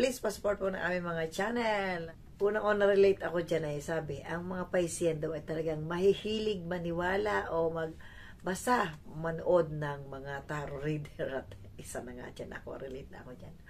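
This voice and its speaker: Against audible room echo, a woman talks at a moderate pace with lively intonation and big swings in loudness. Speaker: tarot vlogger. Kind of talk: casual vlog monologue. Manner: halting.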